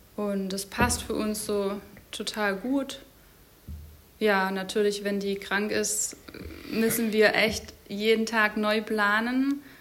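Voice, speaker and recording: A woman's fairly high, monotone, flat voice at a very slow pace, with long, frequent pauses, noticeable background noise and audible room echo. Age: 30s. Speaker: medical student and mother. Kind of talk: interview.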